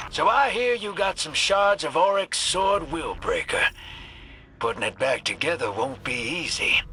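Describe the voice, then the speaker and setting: Over light background noise, a man puts on a drawling character voice at a moderate pace. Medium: video game. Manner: drawling, folksy slang.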